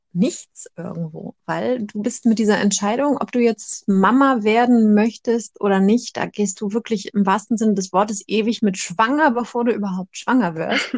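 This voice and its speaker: A woman has an unremarkable speaking voice with a fairly high pitch and ordinary pitch variation. The sound is dry and close with no echo. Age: 30s. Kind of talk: casual chat.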